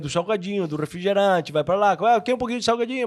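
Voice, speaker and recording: A man's high-pitched voice. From Argentina. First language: Spanish (speaking Portuguese). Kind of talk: casual chat.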